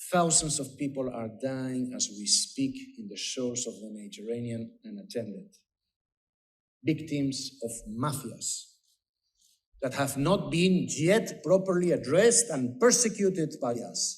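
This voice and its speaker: At a fairly slow pace, a man with a Spanish accent speaks in a fairly high, somewhat breathy voice with very wide pitch swings, and audible room echo surrounds him. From Spain. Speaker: politician. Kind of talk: conference speech. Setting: conference panel.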